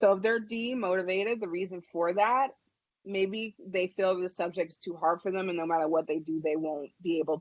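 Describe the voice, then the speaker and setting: This is a plain, everyday voice. A woman speaks at a medium pitch. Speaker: educator and webinar presenter. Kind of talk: webinar presentation. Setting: online webinar.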